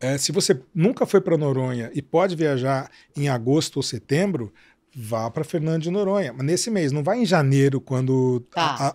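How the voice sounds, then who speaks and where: A man speaks at a moderate pace with lively intonation and a fairly high pitch over a quiet background. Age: 60s. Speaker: travel writer and website owner; travel website creator, podcast guest. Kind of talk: interview. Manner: halting, many repetitions. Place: studio. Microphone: studio mic.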